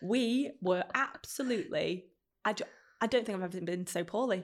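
On a very clean recording with a silent background, a woman with a Manchester accent talks at a fairly quick pace with a fairly high pitch and lively intonation. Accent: Manchester-area northern English. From northern England, Stockport. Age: 30s. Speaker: podcaster and brand founder. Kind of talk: casual chat. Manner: animated.

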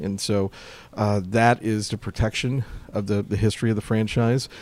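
A man with an American accent and a fairly low pitch. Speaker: baseball team historian. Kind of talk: interview. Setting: ballpark. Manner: halting, many repeated words.

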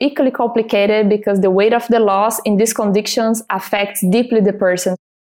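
A woman's fairly high, dark and mellow voice with a Portuguese accent, fairly quick with hardly any pauses, with fairly even intonation and very even loudness. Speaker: export manager for a cosmetics company. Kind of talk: interview.

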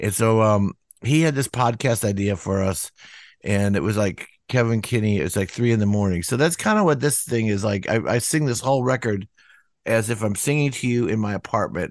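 Over a quiet background, a man talks at a fairly quick pace in a fairly low pitch, his loudness very even and his pitch varying an ordinary amount. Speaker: singer-songwriter, band lead singer. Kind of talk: casual interview.

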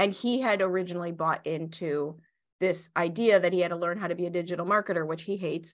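Speaking at a very fast pace, a woman uses a fairly low pitch. She has a Chicago accent, and the background is quiet. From US Midwest, Chicago. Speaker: business coach and entrepreneur. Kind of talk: interview. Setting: video call. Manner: animated.

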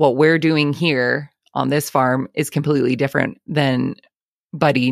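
A woman speaks with an Albertan accent, her very deep, low voice carrying vocal fry and fairly even intonation. The sound is dry and close, with no echo. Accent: Canadian (Albertan). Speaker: farmer and podcast host. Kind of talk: casual interview.

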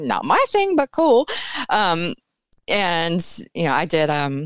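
A woman with a normal speaking voice, fairly low in pitch, talks at a fairly slow pace with lively intonation, in a dry, close sound with no echo and a very clean recording over a silent background. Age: 40s. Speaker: burlesque performer. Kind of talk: casual chat.

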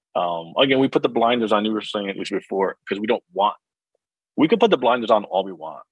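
Someone with an American accent talks at a very fast pace with big swings in loudness. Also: man, fairly low pitch for a man, ordinary pitch variation. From US Northeast (New Jersey). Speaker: financial coach. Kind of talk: casual interview.

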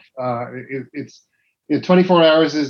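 A man speaks in a Dublin accent. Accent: Dublin Irish. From Dublin, Ireland. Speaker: cycling team manager. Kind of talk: casual chat.

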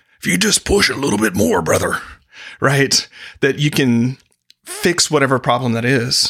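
A man speaks at a moderate pace and medium pitch in a bright, sharp tone with vocal fry, very wide pitch swings, very even loudness, and long, frequent pauses. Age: 40s. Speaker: executive coach and author. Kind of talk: casual chat.

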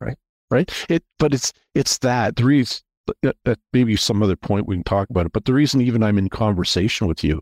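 A man with a Canadian accent and an ordinary speaking voice talks at a fairly quick pace with lively intonation, recorded dry and close with no echo, very clean, against a silent background. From Canada, Toronto area. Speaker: investment bank founder. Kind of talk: casual interview, faith testimony.

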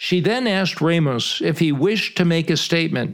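A man's plain, everyday voice, fairly high in pitch with ordinary pitch variation, at a moderate pace on a very clean recording with a silent background. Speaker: retired TV news reporter and podcast host. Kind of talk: scripted narration.

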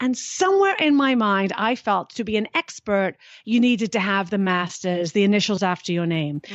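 Moderately paced speech from a woman with a British accent, medium pitch and ordinary pitch variation. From Britain. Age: 50s. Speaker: fitness and happiness expert, author. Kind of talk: interview.

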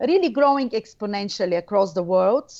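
A woman speaks with a Bulgarian accent and lively intonation. The background is quiet. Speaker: researcher and former radio journalist. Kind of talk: interview. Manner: halting, many fillers.

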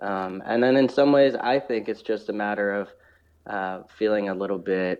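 Fairly low-pitched male speech at a moderate pace with ordinary pitch variation. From US, Oakland area. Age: 30s. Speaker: former pro footballer and football presenter. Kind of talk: casual interview.

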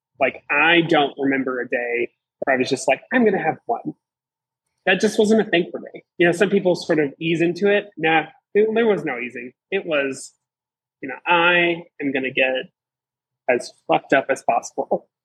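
A man with an American accent speaks at a moderate pace in a high-pitched voice. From Southeastern Virginia. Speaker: recovering alcoholic guest. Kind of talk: testimony.

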